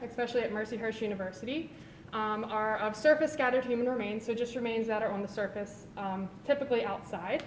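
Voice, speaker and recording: Amid noticeable background noise and audible room echo, a woman talks at a fairly quick pace with hardly any pauses and ordinary pitch variation. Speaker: forensic anthropology researcher presenting thesis. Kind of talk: conference talk. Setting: symposium with live audience. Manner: quiet.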